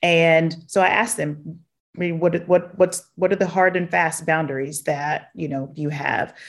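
Against a quiet background, a woman speaks with a Southern US accent at a moderate pace. Her pitch is fairly low, and her intonation is fairly even. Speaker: chief people officer. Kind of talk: interview conversation.

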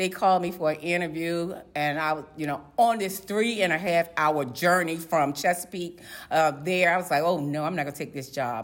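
An American accent marks this woman's fairly low voice. She speaks with hardly any pauses, and room echo is audible. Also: ordinary pitch variation, moderate pace. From Virginia, Portsmouth (Tidewater). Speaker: code enforcement official. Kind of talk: interview. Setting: at a conference.

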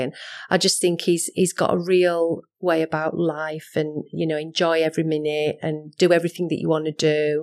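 A woman's very deep, low voice in a Yorkshire accent, monotone and flat, at a moderate pace on a very clean recording with a silent background. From West Yorkshire, Halifax. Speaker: rail industry manager. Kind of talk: interview. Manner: hesitant, many fillers.

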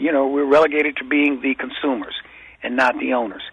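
A normal speaking voice at a moderate pace. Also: man. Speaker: attorney. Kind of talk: radio interview. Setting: phone call.

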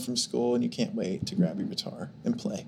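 A man with an American accent and an unremarkable speaking voice talks at a moderate pace and medium pitch. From Oklahoma, small town. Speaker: musician. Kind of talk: casual chat. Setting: studio.

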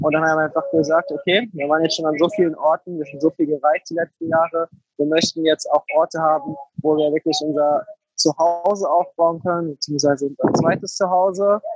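A man talks in an ordinary speaking voice, fairly high in pitch with fairly even intonation. The sound is dry and close, with no echo. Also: fairly quick pace. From Germany, Frankfurt. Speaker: Airbnb entrepreneur. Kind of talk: interview. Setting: online call.

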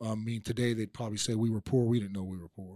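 A man with an American accent speaks at a medium pitch with monotone, flat intonation on a very clean recording with a silent background. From Oklahoma. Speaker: political candidate, former police officer. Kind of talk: interview.

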